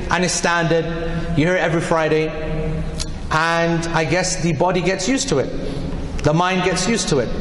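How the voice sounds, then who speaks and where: A man at a high pitch and fairly quick pace, with audible room echo and light background noise. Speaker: preacher. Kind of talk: sermon. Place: hall. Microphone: podium.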